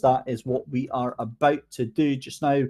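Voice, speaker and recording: A man speaks in a Scottish accent at a moderate pace. His tone is dark and mellow, on a very clean recording with a silent background. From Scotland. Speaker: sim racing commentator and host. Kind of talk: post-race interview. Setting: commentary box.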